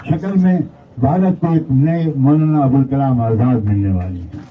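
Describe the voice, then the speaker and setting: A man's intonation is lively, and noticeable background noise is present throughout. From Uttar Pradesh, India. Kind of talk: press conference speech.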